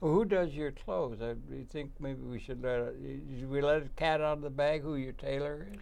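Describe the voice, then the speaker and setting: With ordinary pitch variation, a man talks in a space with audible room echo. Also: fairly high pitch for a man, moderate pace. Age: 80s+. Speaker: talk show host. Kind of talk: interview. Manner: halting.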